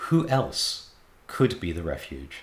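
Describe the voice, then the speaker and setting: A man talks with an English accent. Room echo is audible. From England. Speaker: Buddhist teacher. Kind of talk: lecture. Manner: frequent hesitations and repetitions.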